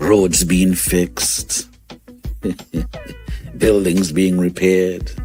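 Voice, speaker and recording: Music plays in the background. Over it, a man speaks with a very deep, low pitch. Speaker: radio host. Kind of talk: morning radio show host talking to audience. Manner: energetic, conversational.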